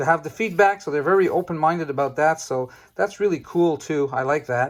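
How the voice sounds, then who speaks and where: Amid noticeable background noise, a man with a Quebec accent talks at a fairly quick pace in a high voice with ordinary pitch variation. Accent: French Canadian accent in English. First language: French. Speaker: trading card game YouTuber. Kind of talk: casual card-opening video talk. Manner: halting, many fillers.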